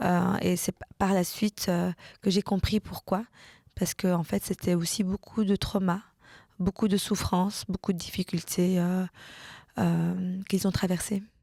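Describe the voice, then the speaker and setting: A woman speaks slowly at a medium pitch, somewhat breathy, with a dark, mellow tone and monotone, flat intonation. Long, frequent pauses break up her speech on a very clean, dry, close recording with a silent background and no echo. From Brussels, Belgium. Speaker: political scientist. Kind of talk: interview testimony. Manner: hesitant, many fillers.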